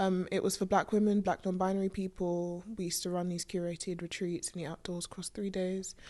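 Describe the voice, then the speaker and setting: In a quiet background, a woman with a medium pitch talks at a fairly quick pace with monotone, flat intonation. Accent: London. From North West London. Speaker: screenwriter. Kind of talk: casual interview chat.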